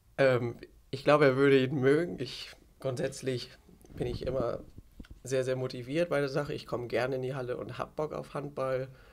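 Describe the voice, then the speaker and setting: Long, frequent pauses break up a man's moderate pace. His medium-pitched voice has monotone, flat intonation. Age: 20s. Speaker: handball player and youth coach. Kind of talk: casual interview. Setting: outdoors on a balcony.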